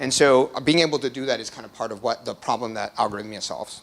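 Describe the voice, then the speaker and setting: The pace is very fast. Pitch varies in an ordinary way. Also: man. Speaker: startup executive giving company presentation. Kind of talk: meetup tech presentation. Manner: filler-heavy with many ums and uhs.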